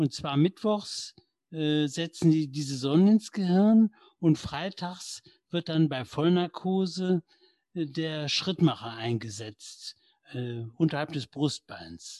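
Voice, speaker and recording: A man's fairly high voice with lively intonation at a very slow pace, recorded dry and close with no echo. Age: 60s. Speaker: retired corporate lawyer with Parkinson's. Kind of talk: interview conversation. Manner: hesitant with many fillers.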